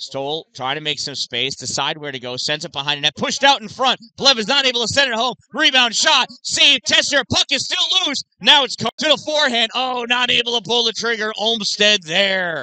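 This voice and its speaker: Raising and projecting his voice, a man talks at a moderate pace with an extremely high pitch, very wide pitch swings, an animated tone and hardly any pauses, the sound dry with no echo. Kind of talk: live commentary. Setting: youth girls hockey game broadcast. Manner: animated, excitable on saves and near-misses. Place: stadium.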